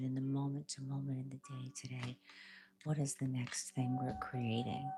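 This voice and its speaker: The speaker is soft-spoken, at a moderate pace. Music plays in the background. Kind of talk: soft-spoken tarot reading and reiki ASMR.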